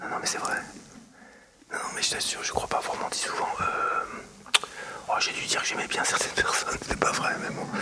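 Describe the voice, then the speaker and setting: A man whispers at a moderate pace. Noticeable background noise runs underneath. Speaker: former politician, former party spokesperson. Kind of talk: whispered interview answer. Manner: whispered, hushed.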